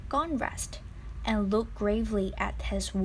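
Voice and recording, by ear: A natural voice reading aloud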